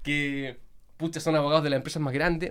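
A man talks at a very fast pace with a Chilean accent. The recording is very clean and the background silent. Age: young. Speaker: lawyer and influencer. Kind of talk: casual interview chat.

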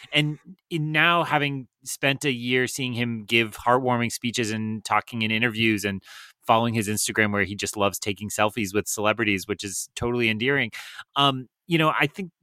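Here is an ordinary speaking voice from a man, medium in pitch with ordinary pitch variation at a moderate pace. The very clean recording has a silent background and a dry, close sound with no echo. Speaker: podcast co-host, teacher. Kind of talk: casual chat.

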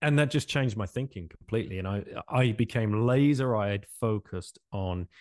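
With an English accent and a fairly low pitch, a man talks at a fairly quick pace with ordinary pitch variation, the sound dry and close with no echo over a quiet background. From England. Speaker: podcast host and former currency trader. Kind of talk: interview.

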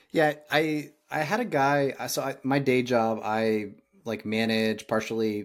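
A man speaks in a normal speaking voice with an American accent. His pitch varies in an ordinary way. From Indiana, US Midwest. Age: 30s. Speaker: podcast host. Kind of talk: casual interview chat.

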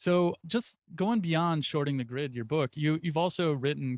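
A man uses an ordinary speaking voice at a moderate pace. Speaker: podcast host and interviewer. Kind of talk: interview, host questions.

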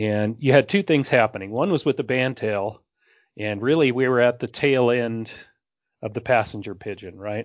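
In an American accent, a man speaks at a moderate pace with ordinary pitch variation. He has a plain, everyday voice. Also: medium pitch for a man. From Northern California. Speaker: wildlife biologist. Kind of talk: casual interview chat.

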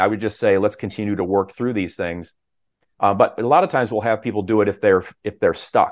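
A man with a plain, everyday voice speaks at a fairly quick pace and a fairly low pitch. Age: 50s. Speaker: health coach. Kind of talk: interview.

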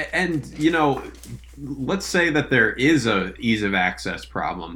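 With vocal fry and very wide pitch swings, a man talks very slowly in a fairly high voice. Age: 20s. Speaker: college basketball analyst. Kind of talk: casual chat.

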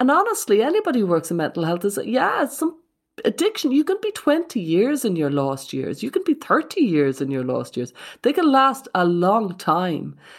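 With an Irish accent, a woman at a fairly high pitch speaks at a moderate pace, her pitch swinging very widely. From Ireland. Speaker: psychotherapist. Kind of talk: casual chat.

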